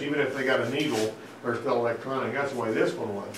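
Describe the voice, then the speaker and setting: A man with a Southern US accent talks at a very fast pace with fairly even intonation, amid audible room echo and noticeable background noise. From US South, Alabama. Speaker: auto mechanic instructor. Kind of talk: technical presentation to a class. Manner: conversational, folksy.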